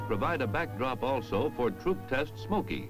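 Over music in the background, a man speaks at medium pitch with lively intonation. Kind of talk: documentary narration.

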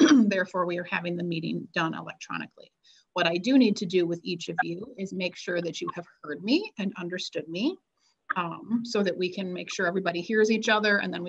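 A woman speaks at a very fast pace in a fairly low pitch, with ordinary pitch variation and vocal fry. The background is quiet. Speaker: meeting staff or attorney. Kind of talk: formal procedural statement. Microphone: video call.

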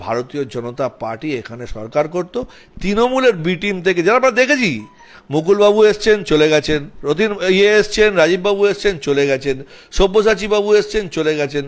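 In an animated tone, a man talks at a high pitch with very wide pitch swings. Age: 40s. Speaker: local party politician. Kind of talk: media interview. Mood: critical, assertive. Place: office. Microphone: handheld.

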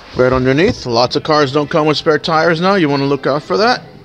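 A man talking at a moderate pace over faint music in the background. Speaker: car salesperson. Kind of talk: sales walkaround commentary. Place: shop. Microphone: phone near.

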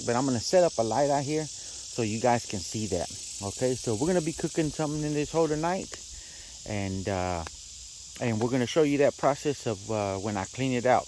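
Delivered at a very fast pace, the speech comes through in a dry sound with no echo over light background noise. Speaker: home cook vlogger. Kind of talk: casual vlog chat. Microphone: phone near.

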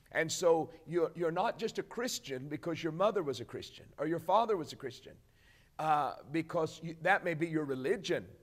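Against a quiet background, a man with a high pitch speaks with lively intonation. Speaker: preacher. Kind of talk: sermon on a televised broadcast, teaching and exhorting. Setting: broadcast. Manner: earnest, warm and emphatic, pastoral tone, deliberate. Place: office.

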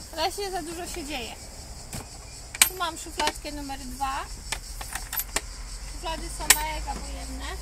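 Over loud background noise, a woman talks at a moderate pace with ordinary pitch variation, the sound dry with no echo. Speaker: travel vlogger. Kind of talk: casual vlog chat. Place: open country.

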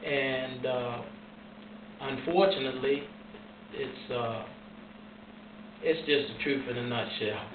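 A man speaking at a very slow pace with ordinary pitch variation, amid noticeable background noise. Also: medium pitch for a man. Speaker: formerly incarcerated man. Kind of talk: interview answer. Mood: earnest, serious. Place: home room.

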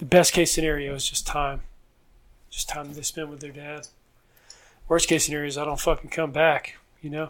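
Speaking fairly quickly in a flat monotone, a man with a Southern US accent uses a fairly high pitch. His loudness swings widely, and he takes long, frequent pauses. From US South. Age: 20s. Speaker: police officer. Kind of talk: casual chat. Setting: at his home.

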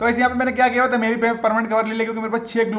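An animated man with a high pitch speaks amid audible room echo and noticeable background noise. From India, West Bengal. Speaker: gaming YouTuber. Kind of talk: gameplay commentary. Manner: casual, animated.

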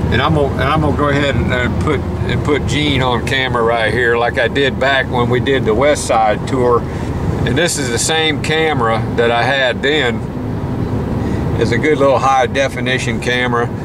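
A man talks at a moderate pace with ordinary pitch variation. The sound is dry with no echo, though loud background noise is present. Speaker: podcast host filming. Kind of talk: casual vlog chat. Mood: jovial, laughing. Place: car. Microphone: phone near.

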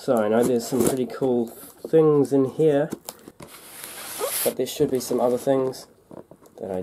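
Delivered at a fairly slow pace, the speech has noticeable background noise behind it. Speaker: diecast toy collector YouTuber. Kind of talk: casual unboxing video. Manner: casual, chatty.

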